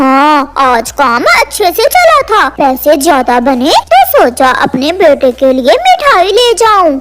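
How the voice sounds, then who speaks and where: A cartoonish character voice at a fairly slow pace with hardly any pauses, over faint music in the background. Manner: earnest.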